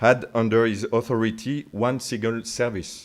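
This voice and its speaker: A man speaks at a very slow pace with a French accent. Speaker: military officer. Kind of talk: lecture. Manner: halting, many fillers.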